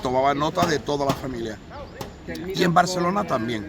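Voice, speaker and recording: A man speaks at a moderate pace and fairly high pitch with ordinary pitch variation. Noticeable background noise sits behind him. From Málaga, Andalusia, Spain. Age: 60s. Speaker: memorial association member on a commemorative march. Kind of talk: interview testimony.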